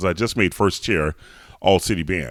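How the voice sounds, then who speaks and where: There is vocal fry in this man's voice, along with ordinary pitch variation. The recording is very clean, with a silent background. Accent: American. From US South, Atlanta. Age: 40s. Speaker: opera singer. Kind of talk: interview.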